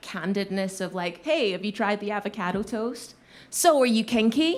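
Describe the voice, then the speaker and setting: A woman speaks with a Scottish accent at a moderate pace. Her pitch is fairly high, and the recording is very clean with a silent background. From Glasgow, Scotland. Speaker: voice actor. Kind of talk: live storytelling performance. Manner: comedic, animated.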